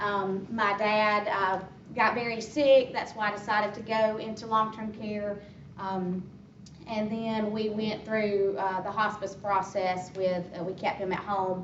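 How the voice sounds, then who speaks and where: A woman with a Southern US accent speaks fairly slowly in a monotone, flat way at medium pitch, with audible room echo and noticeable background noise. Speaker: hospice worker. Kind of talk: informational talk. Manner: loud.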